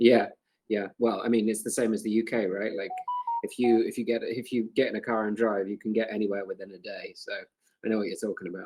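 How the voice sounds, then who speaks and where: Speaking at a very fast pace, a man with a British accent keeps a medium pitch and a monotone, flat intonation. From UK. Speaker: crypto community moderator, chat host. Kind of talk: casual group voice chat. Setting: online voice chat. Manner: halting, many fillers and repeats.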